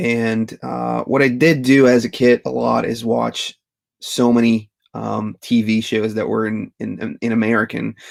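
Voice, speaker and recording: Speaking at a fairly slow pace, a man is heard in a dry, close sound with no echo. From Belgium (Flanders). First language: Dutch (Flemish). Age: 30s. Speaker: retro toy YouTuber. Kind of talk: live Q&A stream. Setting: livestream. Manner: casual, hesitant with many fillers.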